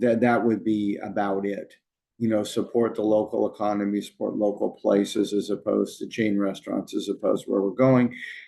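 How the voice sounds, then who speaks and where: With an American accent, a man talks at a fairly quick pace in a dark, mellow tone, his fairly low pitch held monotone and flat. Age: 60s. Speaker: consultant, former city manager. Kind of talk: interview. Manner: halting, many fillers.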